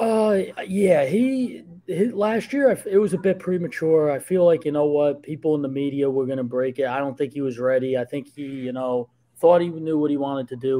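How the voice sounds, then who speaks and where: A man's dark, mellow voice with a New Jersey accent, at a fairly quick pace and with ordinary pitch variation. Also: fairly high pitch for a man. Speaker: sports journalist. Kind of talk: casual podcast chat.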